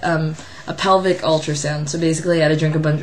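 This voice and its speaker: A woman speaks over noticeable background noise. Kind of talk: casual vlog talk to camera.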